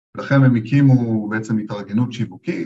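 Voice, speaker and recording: A somewhat breathy male voice with ordinary pitch variation at a moderate pace. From Israel, Lakhish area. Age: 50s. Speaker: agronomist. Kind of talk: interview. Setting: studio.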